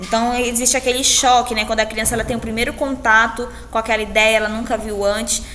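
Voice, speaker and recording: A woman speaks with a Brazilian accent. Audible room echo and noticeable background noise fill the recording. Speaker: teacher. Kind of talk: lecture. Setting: recorded alone after a live class.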